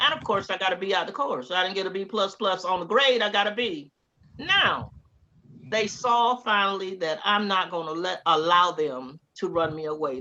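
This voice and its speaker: Bright and sharp in tone, a woman speaks with a Southern US accent and lively intonation. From US South, Georgia and Tallahassee, Florida. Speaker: interviewee, former graduate student. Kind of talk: oral history interview. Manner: animated storytelling.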